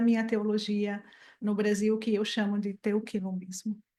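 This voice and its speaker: A woman with a Portuguese accent is heard on a very clean recording with a silent background. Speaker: theology professor, lecture speaker. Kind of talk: lecture. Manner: hesitant in English.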